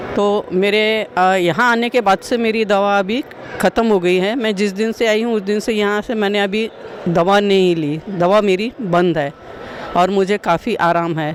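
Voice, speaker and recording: A woman at medium pitch speaks with ordinary pitch variation against noticeable background noise. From Gondia, Maharashtra, India. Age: 60s. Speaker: patient giving testimonial. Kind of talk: testimony.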